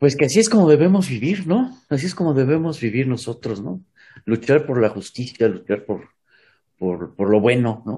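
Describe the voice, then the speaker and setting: Somewhat breathy and dark, mellow in tone, a man speaks with very wide pitch swings. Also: medium pitch for a man, moderate pace. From Mexico. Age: 60s. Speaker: retired pedagogy professor. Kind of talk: interview.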